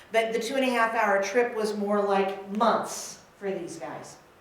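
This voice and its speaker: A woman talks at a moderate pace, her pitch varying in an ordinary way, amid audible room echo and noticeable background noise. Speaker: minister. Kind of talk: sermon. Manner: loud.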